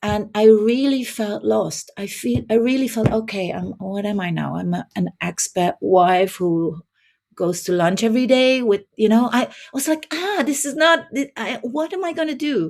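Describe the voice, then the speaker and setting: Speaking at a moderate pace with a Dutch accent, a woman uses a fairly high pitch that moves in very wide swings. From southern Netherlands. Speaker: life coach. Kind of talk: podcast interview.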